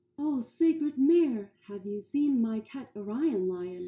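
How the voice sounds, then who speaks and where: A female-sounding voice takes on a put-on character voice at a fairly high pitch for a woman. The pace is fairly slow. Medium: read story.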